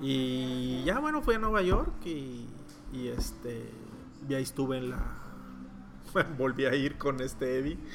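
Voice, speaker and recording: A man speaks very slowly with long, frequent pauses, amid noticeable background noise and audible room echo. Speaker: comic book artist. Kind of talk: interview.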